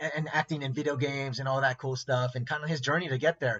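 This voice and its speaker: A man holds fairly even intonation at a medium pitch while speaking at a very fast pace. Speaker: interview host. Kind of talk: casual podcast host intro.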